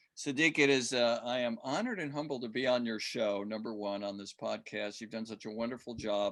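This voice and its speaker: Here is a man with an unremarkable speaking voice at a medium pitch. He moves at a fairly quick pace with ordinary pitch variation. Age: 60s. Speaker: fitness coach and author. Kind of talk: podcast interview.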